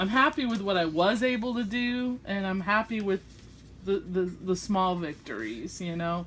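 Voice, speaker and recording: With a Southern US accent, a woman speaks at a moderate pace using lively intonation. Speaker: craft vlogger. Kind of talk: casual chat. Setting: home craft desk, filmed by friend. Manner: chatty; halting.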